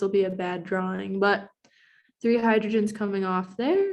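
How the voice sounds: A woman at a moderate pace, medium in pitch, with ordinary pitch variation and a slightly mellow tone.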